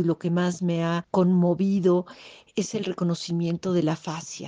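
At a moderate pace, a woman with a fairly low pitch and a dark, mellow tone speaks in a monotone, flat way, recorded dry and close with no echo against a quiet background. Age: 60s. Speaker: workshop participant. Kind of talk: recorded testimony.

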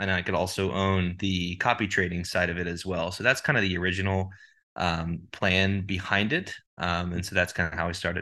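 A bright, sharp voice with a Texan accent, fairly quick and fairly even in intonation, over a quiet background. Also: man, very deep, low pitch for a man. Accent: Texan American. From Texas (Dallas). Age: 20s. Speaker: prop trading firm CEO. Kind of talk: interview.

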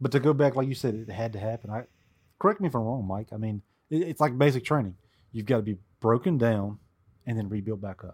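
In a Southern US accent, a man of medium pitch speaks very fast yet with long, frequent pauses, his pitch variation ordinary and the recording very clean with a silent background. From US South. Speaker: Civil War expert. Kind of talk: casual chat.

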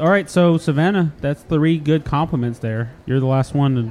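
With an animated tone, a man talks at a fairly quick pace and ordinary pitch variation. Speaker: podcast host. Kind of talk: casual comedic banter. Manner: animated, joking.

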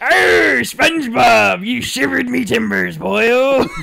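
A man puts on a character voice. His pitch is medium, and his pace is fairly slow. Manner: gruff, exaggerated.

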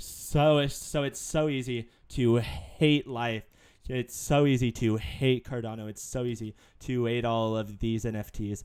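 With an American accent and an ordinary speaking voice, a man speaks at a fairly slow pace with medium pitch and fairly even intonation. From Texas. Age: 20s. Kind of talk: casual chat. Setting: live stream.

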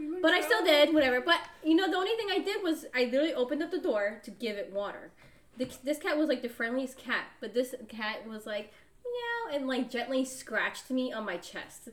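Against noticeable background noise, a woman talks fairly quickly in a high voice with very wide pitch swings. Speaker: podcast co-host. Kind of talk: casual chat.

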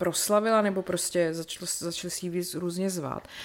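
Speaking at a fairly quick pace, a woman uses a normal speaking voice. Her pitch lands in the medium range. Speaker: podcast co-host. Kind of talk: casual chat.

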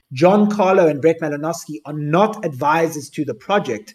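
Speaking with a South African accent, a man has a fairly high pitch, a dark, mellow tone and ordinary pitch variation. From Cape Town, South Africa. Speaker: NFT project founder. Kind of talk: AMA talk. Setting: online audio space.

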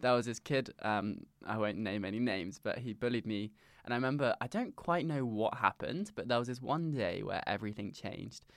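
In a southern English accent, a man talks at a fairly quick pace and medium pitch. The recording is very clean, with a silent background. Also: ordinary pitch variation. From south coast of England. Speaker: startup founder. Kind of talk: interview.

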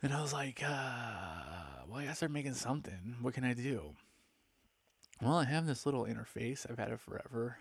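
Lively intonation and vocal fry mark a man's medium-pitched voice with an American accent. He speaks at a moderate pace. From Palm Springs, California. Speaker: podcaster. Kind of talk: casual monologue. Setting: home recording into computer mic. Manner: laid-back, filler-heavy.

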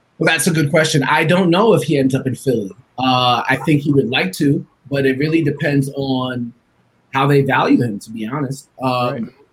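A man with an American accent speaks at a moderate pace in a fairly high pitch, his voice somewhat breathy. His pitch varies in an ordinary way. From Long Island, New York. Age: 30s. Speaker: sports journalist and podcaster. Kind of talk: casual sports talk show interview.

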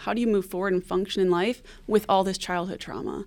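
A woman's unremarkable speaking voice, medium in pitch, with an American accent, fairly even intonation and a moderate pace. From Detroit, Michigan. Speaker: forensic nurse. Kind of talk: radio interview.

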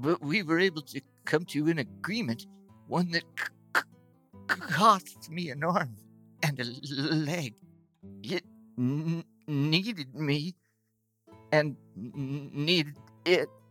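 A put-on character voice at middle pitch speaks very slowly in a gentle, sad tone. Long, frequent pauses break it up, with faint music in the background. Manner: gentle, sad, quietly determined.

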